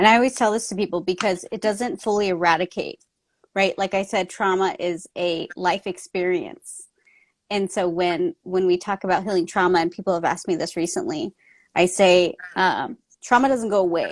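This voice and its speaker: A woman's normal speaking voice with an American accent, medium pitch, ordinary pitch variation and moderate pace, dry and close with no echo, on a very clean recording with a silent background. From US, Mexican American family. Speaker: author and trauma coach. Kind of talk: casual interview chat.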